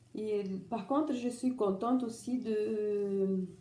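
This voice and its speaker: Audible room echo colors this woman's voice, which is fairly high in pitch with ordinary pitch variation. She speaks at a very slow pace. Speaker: vlogger sharing surgery experience. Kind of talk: personal testimony vlog. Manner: halting, many restarts.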